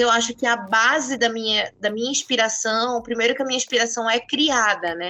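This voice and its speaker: A woman speaks in a normal speaking voice. Her pitch is fairly high and her pace is moderate. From northern Brazil, Santarém, Pará. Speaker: author. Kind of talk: interview.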